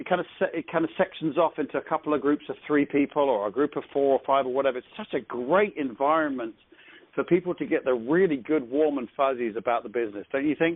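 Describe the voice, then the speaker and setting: A man with an English accent talks at a very fast pace. His pitch is fairly high, with ordinary variation. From England. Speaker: network marketing team leader. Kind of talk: conference call training. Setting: phone conference call.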